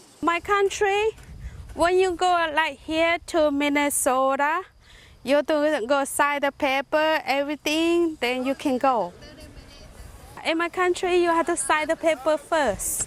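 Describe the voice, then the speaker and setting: A woman's high voice with ordinary pitch variation, very even loudness and a fairly slow pace, music playing in the background. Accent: Southeast Asian. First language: Hmong. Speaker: farmer. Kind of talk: interview. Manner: halting.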